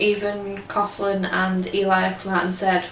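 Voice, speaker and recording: Female speech in audible room echo, noticeable background noise behind it. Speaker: sports fan vlogger. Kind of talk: casual video review. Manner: perky; hesitant with fillers.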